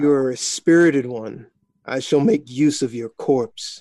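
At a fairly slow pace, a man puts on a character voice, pitched at a medium level. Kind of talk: formal, archaic. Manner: cold, menacing.

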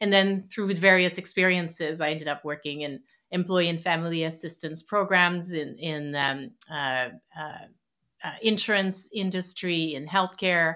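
A woman with a French Canadian accent, fairly low pitch, a bright, sharp tone, fairly even intonation and a moderate pace, on a very clean recording with a silent background. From Quebec City, Canada. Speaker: psychologist and author. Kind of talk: interview conversation.

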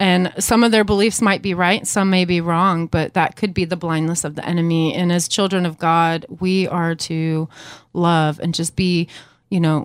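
The woman's fairly low voice moves at a moderate pace. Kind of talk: casual interview.

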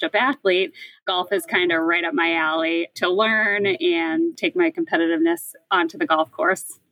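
The speaker, with an American accent, uses an ordinary speaking voice at a moderate pace, with ordinary pitch variation and hardly any pauses. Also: woman. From Boston, Massachusetts (Hyde Park). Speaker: city parks program manager. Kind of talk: interview.

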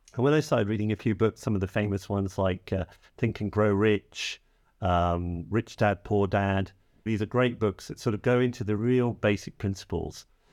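A man with an English accent, fairly low-pitched, at a moderate pace with fairly even intonation, dry and close with no echo, on a very clean recording with a silent background. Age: 50s. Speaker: financial coach. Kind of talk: casual chat.

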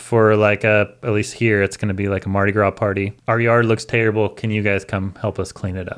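In an American accent, the words come at a fairly quick pace with hardly any pauses and a monotone, flat intonation. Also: man, fairly low pitch for a man. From US Northwest. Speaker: landscaper and education director. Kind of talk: casual chat. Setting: studio.

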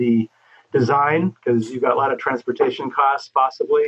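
This man has an American accent and a medium pitch. He talks at a moderate pace with fairly even intonation. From Los Angeles, California. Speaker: architect. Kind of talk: interview.

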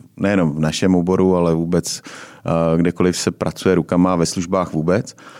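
The very clean recording, with a silent background, captures a man speaking. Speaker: podcast host. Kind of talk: casual interview chat. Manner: hesitant, many fillers.

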